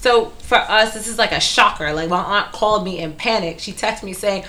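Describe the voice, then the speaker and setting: Against noticeable background noise, a woman talks at a fairly quick pace with hardly any pauses, medium pitch, ordinary pitch variation, and big swings in loudness. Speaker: hairstylist co-host. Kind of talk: casual chat.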